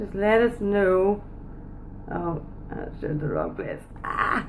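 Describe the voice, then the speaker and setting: This woman has a Northern Irish accent. Noticeable background noise runs under her voice. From Northern Ireland. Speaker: business coach. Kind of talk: live stream chat. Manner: animated.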